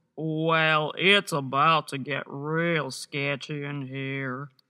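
Using a cartoonish character voice, a woman speaks at a very slow pace in a very deep, low pitch. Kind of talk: animation voice-over. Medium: voice reel. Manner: sarcastic, sassy.

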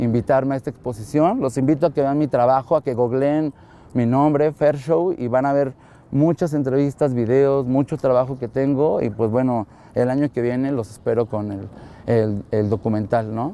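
Dark and mellow in tone, a man's voice moves at a moderate pace with ordinary pitch variation, recorded dry with no echo. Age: 30s. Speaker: photographer. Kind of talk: interview monologue. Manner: hesitant, many fillers.

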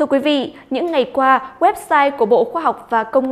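This woman speaks at a high pitch. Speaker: news anchor. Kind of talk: news reading. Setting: studio. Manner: formal.

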